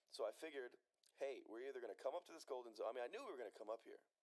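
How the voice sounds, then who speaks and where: A man talks at a very fast pace. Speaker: stock trading streamer. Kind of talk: live trading commentary. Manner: casual, conversational.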